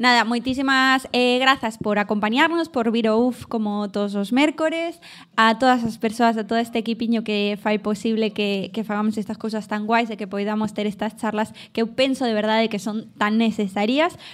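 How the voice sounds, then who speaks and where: In an ordinary speaking voice, the speaker goes on with hardly any pauses and fairly even intonation. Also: woman, fairly high pitch for a woman, moderate pace. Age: 20s. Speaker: podcast host and teacher. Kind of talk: live show with audience. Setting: café with live audience.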